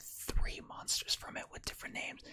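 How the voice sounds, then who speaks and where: The speaker is a whispering man. His delivery is fairly quick. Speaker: ASMR and card game content creator. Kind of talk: casual ASMR pack opening, talking to camera. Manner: casual, conversational, upbeat.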